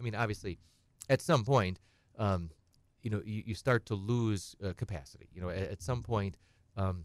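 A man with an Upper Midwest accent, lively intonation and a fairly quick pace. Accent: Upper Midwest American. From central Wisconsin. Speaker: estate planning attorney. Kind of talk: radio call-in advice. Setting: radio studio.

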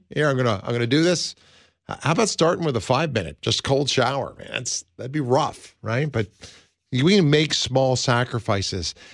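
In a quiet background, a man talks at a moderate pace with lively intonation and vocal fry. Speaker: radio host. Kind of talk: talk radio. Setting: studio. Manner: animated.

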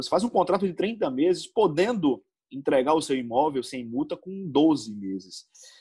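Lively intonation runs through this man's speech. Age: 30s. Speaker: football coach. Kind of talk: interview. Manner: halting.

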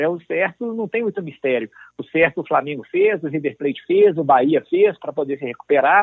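This man talks at a fairly quick clip in an unremarkable speaking voice, pitched fairly high, with lively intonation. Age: 30s. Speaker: lawyer and football club presidential candidate. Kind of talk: interview.

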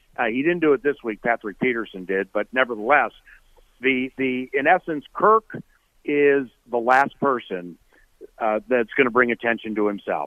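With an American accent, a man speaks at a moderate pace and medium pitch, with ordinary pitch variation. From Washington D.C. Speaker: radio play-by-play announcer. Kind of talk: radio interview. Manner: animated.

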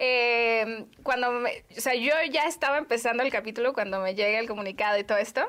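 Bright and sharp in tone, a woman's voice sits at a high pitch. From Mexico, Guadalajara. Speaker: podcast host. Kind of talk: casual interview.

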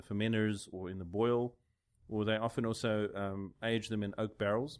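Speaking at a fairly quick pace, a man has a plain, everyday voice at a medium pitch. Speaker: podcast host. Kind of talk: casual chat. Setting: studio.

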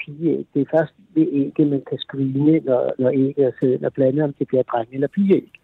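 A man with a normal speaking voice talks at a fairly quick pace. His pitch is fairly high, with ordinary pitch variation. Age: 50s. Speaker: caller, father. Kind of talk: phone-in interview. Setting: phone call. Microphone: faint, poor phone line.

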